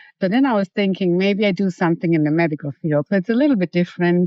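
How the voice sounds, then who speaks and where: A woman with a German accent speaks fairly quickly at a fairly low pitch, with ordinary pitch variation. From Germany. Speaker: hairstylist and salon manager. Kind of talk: interview.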